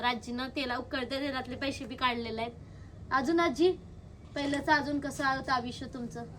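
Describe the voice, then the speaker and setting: A woman speaks in a high pitch. Her intonation stays fairly even. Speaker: vlogger interviewing her grandmother. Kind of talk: casual talk to camera and interview questions.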